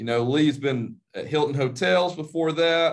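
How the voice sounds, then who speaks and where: A man talks in a normal speaking voice at a fairly slow pace. His pitch is fairly high, with ordinary variation. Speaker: podcast co-host, athletic administrator, ex basketball coach. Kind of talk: interview.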